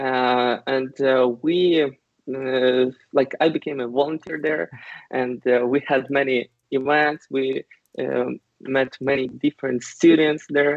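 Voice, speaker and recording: Speaking at a very slow pace with a Ukrainian accent, a man holds a medium pitch and fairly even intonation. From Ukraine. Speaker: IT company worker. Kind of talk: interview. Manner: halting, many fillers.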